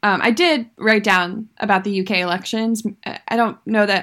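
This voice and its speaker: A woman's animated, medium-pitched voice at a fairly quick pace. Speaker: podcast co-host. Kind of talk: casual chat. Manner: laughs a lot, animated.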